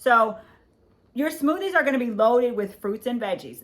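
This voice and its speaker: Here a woman speaks with a fairly high pitch. Her intonation is lively. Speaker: podcast host. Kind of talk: health podcast monologue. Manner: loud; animated.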